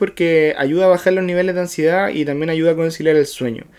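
With a Chilean accent, a man speaks in a high pitch with fairly even intonation. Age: 30s. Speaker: podcast co-host. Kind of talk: casual chat.

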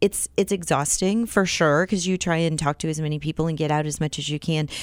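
Fairly quick and fairly low-pitched, a woman speaks with a Midwestern American accent and ordinary pitch variation. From US Midwest, Iowa. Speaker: city council member. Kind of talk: radio interview.

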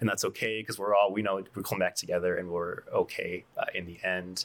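This man, with an American accent, speaks at a very fast pace in a fairly low voice. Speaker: coffee shop co-owner.

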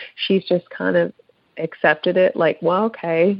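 A woman speaks with an American accent in an unremarkable speaking voice. Her pitch is medium and her pace fairly slow. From Pennsylvania. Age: 40s. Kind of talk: casual chat.

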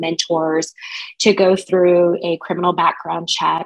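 With an American accent, a woman speaks at a moderate pace and a fairly low pitch. Hers is an unremarkable speaking voice. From Kansas (Wichita). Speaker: life coach and nonprofit founder. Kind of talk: interview conversation.

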